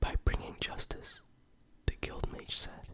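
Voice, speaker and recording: Whispering, a man speaks in a gentle tone. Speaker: ASMR creator. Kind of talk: story reading, ASMR. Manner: whispered, gentle.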